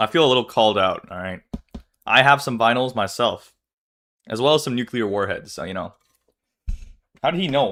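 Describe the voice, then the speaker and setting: Quiet and fairly quick, a man speaks at a medium pitch in a bright, sharp tone, with lively intonation, big swings in loudness, and long, frequent pauses. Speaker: streamer reacting to a video. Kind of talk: casual live-stream chat. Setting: live stream with chat.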